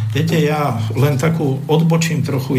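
The intonation stays fairly even. Audible room echo and noticeable background noise fill the recording. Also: man. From Slovakia, Bratislava. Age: 60s. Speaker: economist and former ship officer. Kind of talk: radio talk show discussion. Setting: radio studio.

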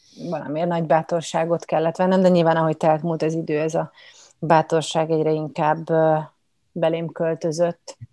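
Woman with a dark, mellow tone, fairly low pitch and monotone, flat intonation. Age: young. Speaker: actress. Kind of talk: interview. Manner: hesitant, many fillers.

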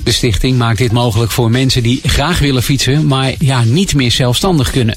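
With music in the background, a man speaks at a moderate pace and medium pitch, with ordinary pitch variation. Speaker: local news reader. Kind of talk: news reading. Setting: radio studio. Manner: formal, measured.

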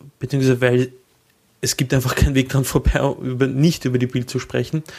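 With a Viennese accent, a man speaks at a moderate pace and a medium pitch. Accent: Viennese Austrian German. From Austria. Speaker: podcast co-host. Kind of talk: casual chat.

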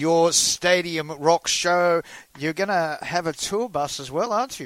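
A man with an Australian accent speaks at a high pitch. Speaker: country radio host. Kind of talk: radio hosting and interview.

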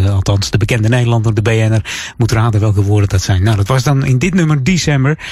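Over noticeable background noise, a man delivers his words at a very fast pace. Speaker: radio host. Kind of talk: radio dj patter. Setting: radio studio. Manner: chatty and relaxed, easy-going; upbeat with warm festive cheer.

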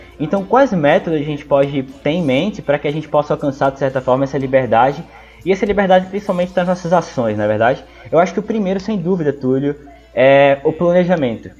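Very fast and with lively intonation, a man talks at a fairly high pitch over noticeable background noise. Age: 20s. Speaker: history student and study mentor. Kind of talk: casual educational talk.

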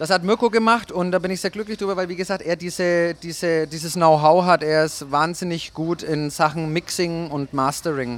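A man speaks at a moderate pace with hardly any pauses. His pitch is high for a man, with ordinary variation. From Germany, Nuremberg. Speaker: DJ and label owner. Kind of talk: interview. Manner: hesitant, many filler sounds.

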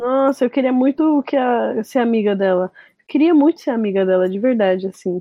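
A woman with a fairly high pitch and lively intonation talks at a moderate pace in an unremarkable speaking voice. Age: 20s. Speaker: DJ and music producer. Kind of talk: casual chat.

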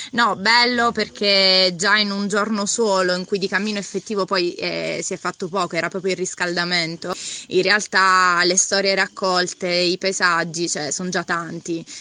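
Her bright, sharp tone stays in a monotone, flat intonation as the woman speaks. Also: medium pitch for a woman, moderate pace, quiet background. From Foggia, Apulia, southern Italy. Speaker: pilgrim walker. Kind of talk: casual interview.

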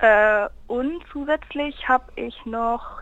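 With ordinary pitch variation, a woman's high pitch comes through. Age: 20s. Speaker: university student and campus radio member. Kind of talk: casual interview. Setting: phone call.

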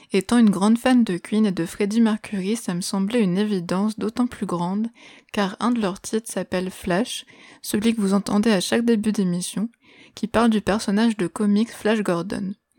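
A woman speaks at medium pitch with a dark, mellow tone, fairly even intonation and a moderate pace. The recording is very clean with a silent background and a dry, close sound with no echo. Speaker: music podcast host. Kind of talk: scripted solo podcast narration. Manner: radio-presenter style phrasing.

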